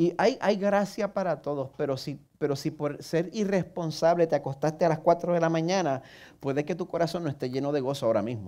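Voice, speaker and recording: This man has a fairly high pitch, a dark, mellow tone and a Puerto Rican accent, with ordinary pitch variation. He talks at a fairly quick pace against a quiet background. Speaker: pastor. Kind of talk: sermon. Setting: church service broadcast online.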